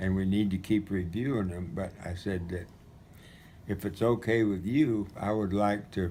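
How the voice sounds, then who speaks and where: Fairly low in pitch, a man's dark, mellow tone carries fairly even intonation. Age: 80s+. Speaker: retired missionary recounting memories. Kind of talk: storytelling. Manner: halting.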